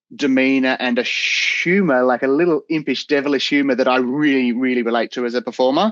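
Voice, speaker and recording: The speaker is a man with an Australian accent. The sound is dry and close, with no echo. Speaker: actor. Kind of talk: casual interview chat. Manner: fast.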